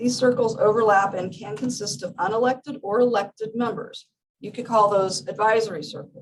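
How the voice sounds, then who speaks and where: Speaking at a fairly quick pace, a woman uses a fairly high, somewhat breathy voice with ordinary pitch variation. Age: 60s. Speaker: small farmer speaking at public comment. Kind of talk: prepared public comment read aloud. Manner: formal.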